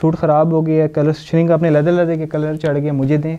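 A man talks at a fairly quick pace in a fairly high pitch. His tone is dark and mellow, with little pitch movement.

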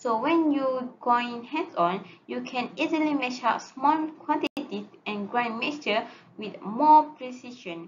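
A woman's high voice at a fairly slow pace, with ordinary pitch variation and light background noise. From Malaysia. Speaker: student; presenter. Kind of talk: class presentation. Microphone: webcam.

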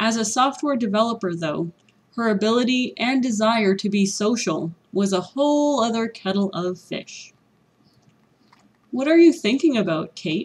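Speaking with a Canadian accent, a woman's fairly high, somewhat breathy voice moves at a moderate pace with lively intonation. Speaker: ESL teacher. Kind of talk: read story for language learners.

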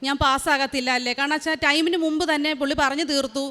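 This woman speaks in a raised, projected voice with a high pitch, a bright, sharp tone and monotone, flat intonation. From Kerala, Alappuzha district (Haripad). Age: 40s. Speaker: nurse. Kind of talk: testimony.

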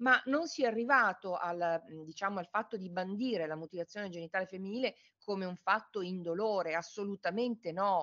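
Against a quiet background, a woman talks at a fairly quick pace. Her pitch is medium and varies in an ordinary way. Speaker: forensic medicine professor. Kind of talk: academic lecture. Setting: video call. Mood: calm, serious. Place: home room. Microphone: on mobile phone; webcam.

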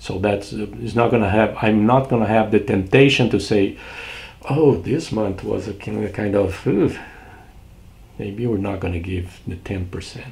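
The voice has vocal fry and a Brazilian accent. Its pitch varies in an ordinary way. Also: man, fairly low pitch for a man, fairly slow pace. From southern Brazil. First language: Portuguese. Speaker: pastor. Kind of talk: short devotional sermon. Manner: warm, repetitive. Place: home room. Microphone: webcam.

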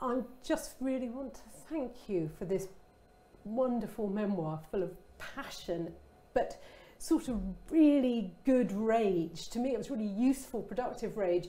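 With a southern English accent, a woman speaks at a fairly high pitch, her intonation lively and her pauses long and frequent. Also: fairly slow pace. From Kent, England. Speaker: interviewer. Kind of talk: casual chat. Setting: online event. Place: studio. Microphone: lapel.

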